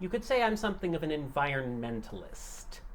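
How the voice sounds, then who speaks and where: A put-on character voice at a middle pitch moves at a fairly quick pace, with clear background noise behind it. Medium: actual play. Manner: ominous, warning.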